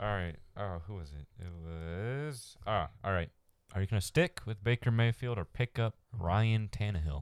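On a very clean recording with a silent background and a dry, close sound with no echo, a man speaks at a moderate pace in a fairly low voice, his intonation lively and his loudness swinging widely. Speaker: fantasy sports podcast host. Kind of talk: casual chat. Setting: studio mic recording. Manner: leans back from the mic, sounds distant at times.

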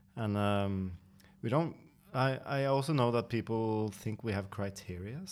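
In a very clean recording with a silent background, a man with a Norwegian accent speaks at a fairly slow pace in a fairly low pitch with ordinary pitch variation. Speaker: coffee company podcast host. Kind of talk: casual interview.

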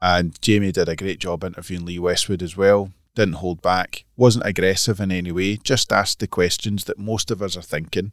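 Fairly quick, with hardly any pauses, a man with a Scottish accent speaks at a very deep, low pitch and fairly even intonation, the sound dry and close with no echo on a very clean recording with a silent background. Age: 40s. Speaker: golf magazine editor. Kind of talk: casual chat. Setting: studio.

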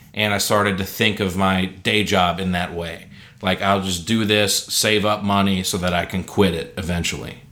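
Bright and sharp in tone, this voice keeps a fairly even intonation at a moderate pace, with audible echo in the room. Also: man, very deep, low pitch for a man. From Alabama. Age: 20s. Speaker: comedian and musician. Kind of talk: casual interview chat.

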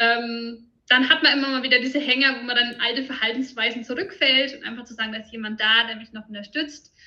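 A woman's fairly high, bright and sharp voice at a fairly quick pace. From Franconia, Germany. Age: 30s. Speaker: nutrition consultant. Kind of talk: interview.

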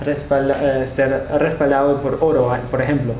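Audible room echo and noticeable background noise accompany a man speaking at a fairly slow pace. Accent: German. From Germany. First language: German (speaking Spanish). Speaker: podcast co-host, crypto entrepreneur. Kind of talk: casual chat.

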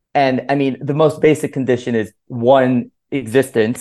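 A man with an American accent has a plain, everyday voice. He talks at a moderate pace with fairly even intonation against a quiet background. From Miami, Florida (Cuban American). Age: 20s. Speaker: author and philosopher. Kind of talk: interview podcast.

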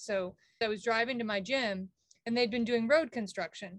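Her voice fairly high, a woman with an unremarkable speaking voice talks at a moderate pace. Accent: American. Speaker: podcast co-host. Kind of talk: casual chat. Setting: video call.

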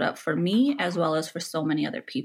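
A woman with a Californian accent, her pitch fairly low and her intonation lively. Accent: Californian American English. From Los Angeles, California. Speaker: therapist. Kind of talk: interview conversation.

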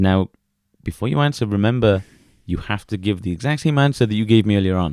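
Speaking at a very fast pace with a British accent, a man keeps his pitch fairly low and his intonation lively. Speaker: podcast co-host. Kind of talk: casual chat.

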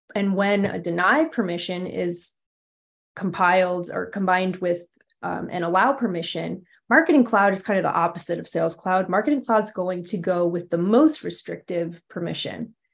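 Vocal fry colors this speech in an American accent, at a moderate pace with ordinary pitch variation. The background is quiet. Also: woman, medium pitch for a woman. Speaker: marketing technology architect. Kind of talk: interview.

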